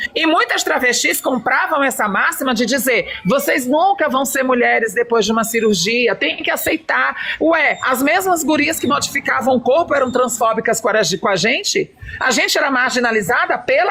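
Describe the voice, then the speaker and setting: A woman speaks at a moderate pace in a raised, projected, high-pitched voice with an animated tone, very wide pitch swings and very even loudness over noticeable background noise. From Brazil, São Luís do Maranhão. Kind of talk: heated debate.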